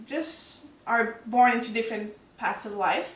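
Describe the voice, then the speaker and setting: Someone with a Quebec accent speaks at a fairly slow pace, with audible room echo and noticeable background noise. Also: woman. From Quebec, Montreal. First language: French. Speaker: book reviewer. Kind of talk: casual chat.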